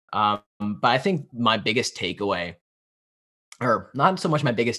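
Heard on a very clean recording with a silent background, a man speaks at a moderate pace with a medium pitch and a bright, sharp tone. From US, Pennsylvania. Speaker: business student and podcast host. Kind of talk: interview conversation.

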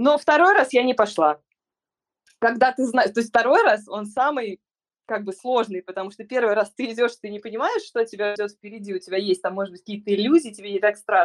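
At a fairly quick pace, a woman with an unremarkable speaking voice talks at a fairly high pitch with ordinary pitch variation and big swings in loudness, in a dry, close sound with no echo. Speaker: hand therapist. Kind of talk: call-in personal story. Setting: online call.

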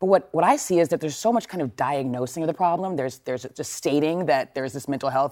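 Talking at a very fast pace in an American accent, the speaker comes through on a very clean recording with a silent background. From Texas. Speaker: news correspondent. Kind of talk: news discussion.

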